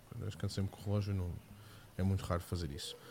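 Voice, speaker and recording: A somewhat breathy male voice, dark and mellow in tone, with a European Portuguese accent. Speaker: tech podcast co-host. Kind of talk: casual live-stream chat.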